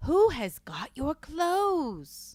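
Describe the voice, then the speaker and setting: This put-on character voice sits at a high pitch on a very clean recording with a silent background. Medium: read story. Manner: confident, know-it-all.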